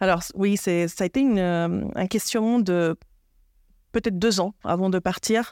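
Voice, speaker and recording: A woman speaks at a fairly slow pace and medium pitch with very even loudness, in a dry, close sound with no echo. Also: fairly even intonation, very clean recording, silent background. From Argentina and Switzerland. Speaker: HR director. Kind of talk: interview podcast. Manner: hesitant, many fillers.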